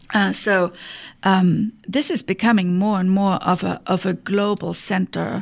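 On a very clean recording with a silent background, a woman with a German accent talks at a medium pitch and a fairly slow pace. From Germany. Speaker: economic development executive. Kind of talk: interview. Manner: halting, many fillers.

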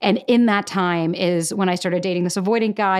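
On a very clean recording with a silent background, a woman speaks in an unremarkable speaking voice at medium pitch with fairly even intonation. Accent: American. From Florida. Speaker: podcaster and content creator. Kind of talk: casual interview chat.

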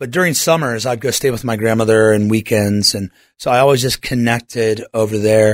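Recorded very cleanly over a silent background, an unremarkable speaking voice with an American accent moves at a fairly quick pace with ordinary pitch variation. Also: man, medium pitch for a man. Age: 40s. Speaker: pastor. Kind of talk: radio interview; sermon.

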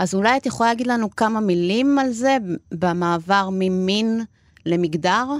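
A woman speaks at a medium pitch and a moderate pace, with ordinary pitch variation and very even loudness. It is an ordinary speaking voice. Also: very clean recording, silent background. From Argentina. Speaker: podcast host. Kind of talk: interview. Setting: studio.

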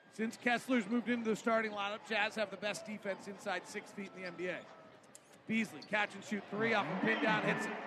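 With noticeable background noise behind him, a man with a high pitch talks at a fairly quick pace in a raised, projected voice. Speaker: radio play-by-play announcer. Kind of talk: live play-by-play basketball commentary. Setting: arena broadcast. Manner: rapid-fire, clipped play-by-play delivery; animated, rising pitch on big plays.

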